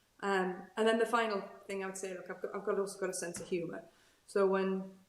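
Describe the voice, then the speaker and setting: Noticeable background noise runs behind a woman. Her medium-pitched voice is monotone and flat. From northeast England, Newcastle. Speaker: procurement executive. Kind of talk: interview. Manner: conversational, repeats words.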